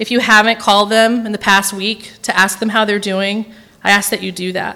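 A woman with an American accent speaks at a moderate pace. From Tennessee, Nashville area. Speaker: guest preacher. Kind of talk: sermon. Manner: unscripted, with many fillers.

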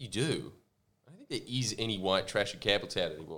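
With an Australian accent and ordinary pitch variation, a man talks on a very clean recording against a silent background. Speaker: podcast host. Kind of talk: casual banter podcast chat. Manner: joking, humorous.

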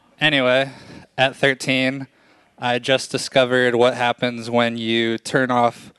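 A man's medium-pitched voice, bright and sharp in tone, at a fairly slow pace with monotone, flat intonation. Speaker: reporter and storyteller. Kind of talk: live storytelling, comedic.

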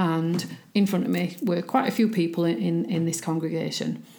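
In a strong Yorkshire accent, the speaker has a dark, mellow tone with vocal fry, a moderate pace and ordinary pitch variation. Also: woman. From Yorkshire, England. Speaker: spiritualist medium. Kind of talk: interview.

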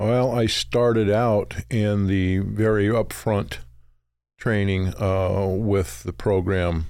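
Very cleanly recorded over a silent background, a man speaks with an American accent. His pitch is very deep and low, with ordinary variation. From Utah. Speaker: low-voltage contractor and electrical instructor. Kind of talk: casual interview.

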